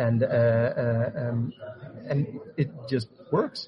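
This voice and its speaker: A man speaks at a medium pitch. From Netherlands. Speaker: tech marketing architect. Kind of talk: interview.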